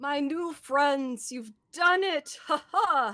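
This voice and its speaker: A put-on character voice, raised and projected, stretches its words out at a very slow pace. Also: woman. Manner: jolly, joyous.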